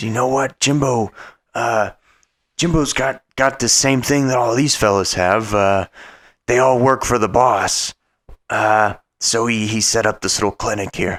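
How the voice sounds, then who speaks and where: In a put-on character voice, a raspy man with medium pitch speaks at a moderate pace with long, frequent pauses, recorded very cleanly against a silent background. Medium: actual play.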